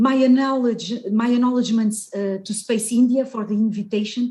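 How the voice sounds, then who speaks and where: A woman with a Portuguese accent, fairly high-pitched, in a dark, mellow tone with monotone, flat intonation at a moderate pace. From Portugal. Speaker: geoscience researcher and scientist astronaut candidate. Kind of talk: webinar presentation. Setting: video call. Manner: loud.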